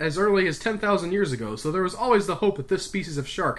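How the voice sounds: Words are delivered in a natural reading voice.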